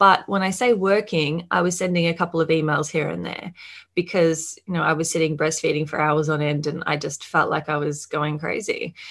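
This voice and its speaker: The speaker is a woman with an Australian accent. All is quiet behind her. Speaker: marketing mentor and agency owner. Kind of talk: podcast interview.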